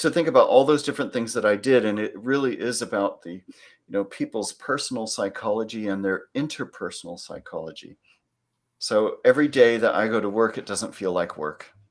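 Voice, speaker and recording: A man with a Californian accent is heard on a very clean recording with a silent background. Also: fairly quick pace, big swings in loudness. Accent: American, Californian. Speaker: psychology lecturer and executive coach. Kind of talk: panel Q&A.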